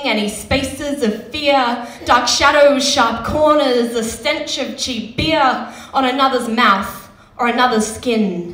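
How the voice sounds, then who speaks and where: Speaking at a very slow pace, a woman uses a high pitch while audible room echo surrounds her voice. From Western Australia. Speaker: slam poet. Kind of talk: slam poetry performance. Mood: grave, emotional. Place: stage. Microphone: handheld.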